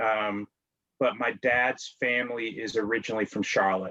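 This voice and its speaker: A man's fairly low, bright, sharp voice in an American accent, with fairly even intonation and a moderate pace. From Washington, D.C. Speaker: amateur genealogist, guest. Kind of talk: interview conversation. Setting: video call. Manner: hesitant with many fillers.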